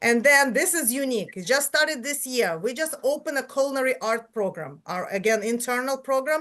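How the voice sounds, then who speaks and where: A high-pitched woman at a fairly quick clip, lively intonation, hardly any pauses, quiet background. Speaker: high school principal. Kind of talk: school presentation at public meeting. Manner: fast.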